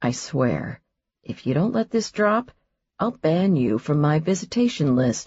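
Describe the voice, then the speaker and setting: Putting on a character voice, a woman uses a very deep, low pitch with very wide pitch swings at a moderate pace. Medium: read story. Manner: dry, joking.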